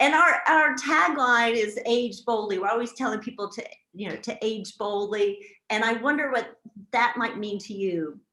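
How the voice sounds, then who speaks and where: A woman speaks at a moderate pace in a fairly high pitch with ordinary pitch variation. She has an ordinary speaking voice. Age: 60s. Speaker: magazine editor and event host. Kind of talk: interview.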